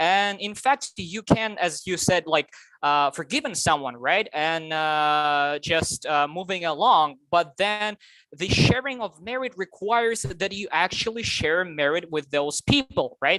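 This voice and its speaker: Speaking at a fairly slow pace with a non-native accent, the voice goes on with hardly any pauses. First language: not English. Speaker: Zoom participant asking a question. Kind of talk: Q&A question. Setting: video call. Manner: halting, many fillers.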